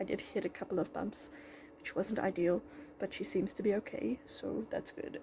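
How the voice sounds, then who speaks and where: A woman's quiet voice at a moderate pace. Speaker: vet student vlogger. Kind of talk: casual vlog talk.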